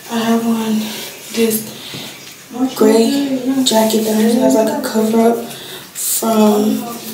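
Over noticeable background noise and audible room echo, a woman speaks at a very slow pace. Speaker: student vlogger. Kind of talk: casual vlog chat. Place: bathroom. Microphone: phone near.

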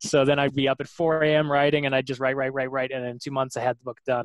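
The man's intonation is monotone and flat, and the sound is dry and close with no echo. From Canada. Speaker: sci-fi author. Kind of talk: casual interview.

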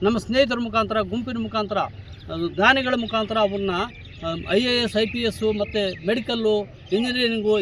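High pitch from a man, with noticeable background noise around him. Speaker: retired head teacher. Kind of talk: protest interview statement.

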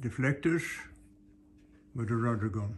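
Somewhat breathy, a man talks at a medium pitch. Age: 80s+. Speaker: sailor and boatbuilder. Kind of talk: workshop video diary. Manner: casual, conversational.

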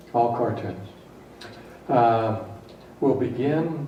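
A man speaks at a medium pitch with ordinary pitch variation. Noticeable background noise and audible room echo fill the recording. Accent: American. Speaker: mayor chairing city council. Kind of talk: council meeting chairing. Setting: council chamber.

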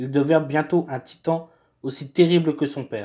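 A man speaks in a fairly high pitch with a dark, mellow tone and fairly even intonation. The recording is very clean, with a silent background. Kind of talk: myth narration. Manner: formal; steady storytelling pace.

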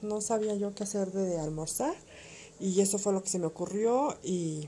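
There is light background noise as a woman speaks. Her pace is fairly slow and her pitch varies in an ordinary way. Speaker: home vlogger. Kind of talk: casual recipe narration.

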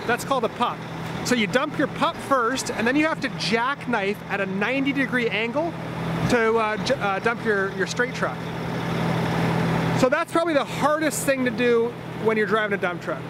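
A man speaks at a moderate pace with long, frequent pauses, his voice dry with no echo over loud background noise. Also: ordinary pitch variation. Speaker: vlogger. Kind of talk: casual vlog chat explaining. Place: open country. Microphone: phone near.

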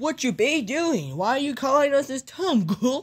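A put-on character voice, high in pitch, at a moderate pace.

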